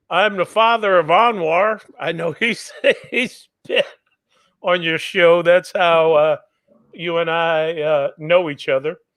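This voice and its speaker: A man talks at a very slow pace. His pitch is high for a man, with ordinary pitch variation. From Washington, D.C., US. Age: 70s. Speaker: guest. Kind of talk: interview.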